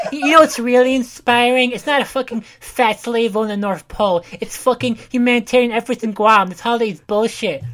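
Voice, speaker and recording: A woman's put-on character voice, nasal and fairly high, at a fairly quick pace with hardly any pauses. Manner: angry, cynical.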